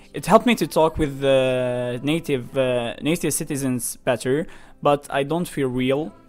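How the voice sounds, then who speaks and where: Music can be heard in the background. The delivery moves at a moderate pace. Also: man, fairly high pitch for a man, ordinary pitch variation. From Algeria. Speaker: interviewee. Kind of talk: testimony. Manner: halting.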